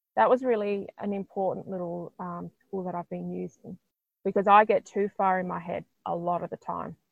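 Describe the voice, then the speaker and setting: Speaking with an Australian accent, a woman keeps a moderate pace and medium pitch with ordinary pitch variation. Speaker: intuitive healer. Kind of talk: casual interview chat.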